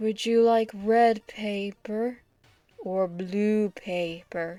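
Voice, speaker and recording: At a very slow pace, a woman does a put-on character voice with medium pitch. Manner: eerie.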